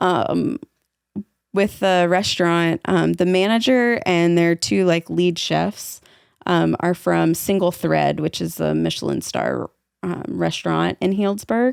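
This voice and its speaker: A woman talks very slowly with a slight Southern accent. The recording is very clean and dry, close with no echo, against a silent background. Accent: slight southern twang. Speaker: podcast host. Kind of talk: casual chat. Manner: hesitant, many fillers.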